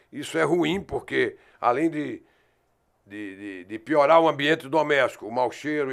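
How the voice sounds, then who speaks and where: A man's fairly high voice with very wide pitch swings, in a very clean recording with a silent background. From Brazil, Northeast (Recife, Pernambuco). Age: 70s. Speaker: local politician and doctor. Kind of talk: podcast interview.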